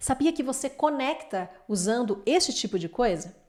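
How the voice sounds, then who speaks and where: Very wide swings mark the pitch. Everything sounds very clean, and the background is silent. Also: woman. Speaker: lawyer and relationship coach. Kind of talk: lecture.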